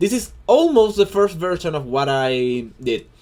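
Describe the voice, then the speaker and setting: This man speaks with a Chilean Spanish accent at a fairly slow pace. His high pitch moves in very wide swings. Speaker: hobby digital artist. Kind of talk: tutorial. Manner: halting, many fillers and repeats.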